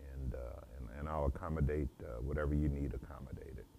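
A man with an American accent speaks at a fairly quick pace in a very deep, low pitch. His tone is dark and mellow, with light background noise. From US Midwest, St. Louis, Missouri. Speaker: home chef. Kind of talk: interview monologue, self-promotion. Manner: halting, many fillers.

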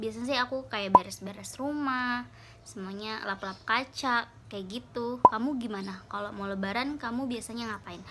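Against loud background noise, a woman talks at a fairly high pitch and a moderate pace with hardly any pauses. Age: 20s. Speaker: beauty vlogger. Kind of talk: casual talk to camera. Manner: upbeat, chatty. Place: home room. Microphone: phone near.

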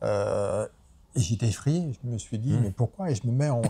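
The man's voice is somewhat breathy at medium pitch. His intonation is lively and his pace moderate. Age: 40s. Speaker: animal rights activist. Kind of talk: interview. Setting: association offices in a city.

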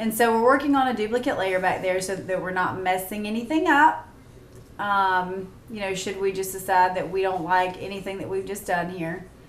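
A woman speaks with ordinary pitch variation. There is audible room echo and light background noise. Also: moderate pace. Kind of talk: tutorial.

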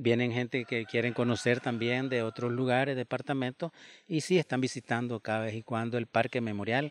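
Recorded dry with no echo, a man speaks at a fairly quick pace with fairly even intonation. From Nicaragua, Posoltega area; Nicaragua. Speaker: disaster survivor. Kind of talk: interview testimony. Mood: calm, earnest. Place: garden. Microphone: handheld.

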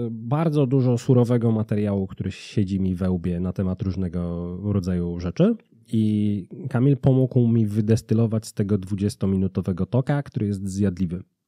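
Over a quiet background and a dry sound with no echo, a man speaks at a moderate pace in a fairly low, dark, mellow voice with ordinary pitch variation. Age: 30s. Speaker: business consultancy founder; podcast guest. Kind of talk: casual interview. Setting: studio. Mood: relaxed, smiling. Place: studio. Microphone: studio mic.

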